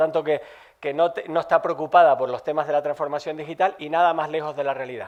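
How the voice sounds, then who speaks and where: Monotone, flat intonation from a man with a Canarian accent, fairly high in pitch and at a fairly quick pace. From Canary Islands. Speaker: tech company executive. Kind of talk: conference talk.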